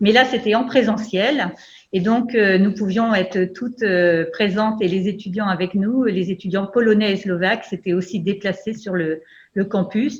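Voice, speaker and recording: A woman speaks fairly slowly in a somewhat breathy voice. Her intonation stays fairly even. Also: medium pitch for a woman. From France, Brittany. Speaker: university lecturer, project coordinator. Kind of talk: online event presentation. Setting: video call. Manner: hesitant, many fillers.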